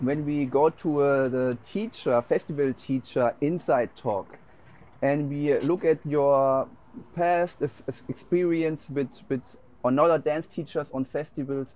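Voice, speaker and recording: Speaking fairly slowly with a German accent, a man with a fairly high voice keeps a dark, mellow tone and fairly even intonation. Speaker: dance teacher. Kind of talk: interview. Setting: dance festival.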